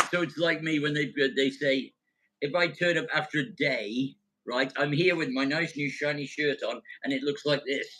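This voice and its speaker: A man's bright, sharp tone at a fairly high pitch, with a moderate pace and fairly even intonation. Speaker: sandcastle builder. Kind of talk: podcast guest conversation. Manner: humorous.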